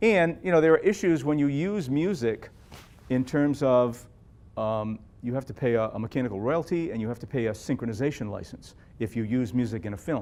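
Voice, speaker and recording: Lively in intonation, a man talks fairly quickly at a medium pitch. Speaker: jazz guitarist. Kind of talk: Q&A after film screening. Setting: library event with audience. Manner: fast.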